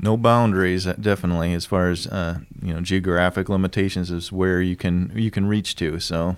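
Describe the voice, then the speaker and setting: A man's very deep, low voice, flat and monotone, at a fairly quick pace with hardly any pauses. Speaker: podcast host. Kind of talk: casual interview chat.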